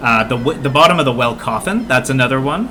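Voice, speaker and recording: A man with a Canadian accent, medium in pitch, with lively intonation and a fairly quick pace, amid noticeable background noise and audible room echo. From Canada. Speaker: video game speedrun teacher streamer. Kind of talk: live-stream gameplay tutorial. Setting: live stream. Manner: casual, with many fillers (uh, um).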